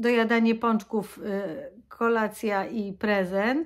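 A woman's fairly high voice, an ordinary speaking voice with fairly even intonation against a quiet background. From Poland. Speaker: vlogger. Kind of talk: casual vlog monologue. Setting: at home. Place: home room. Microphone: phone near.

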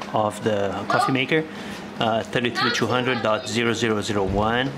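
A man's voice over crowd noise in the background. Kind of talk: casual repair vlog chat. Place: garage. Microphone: phone near.

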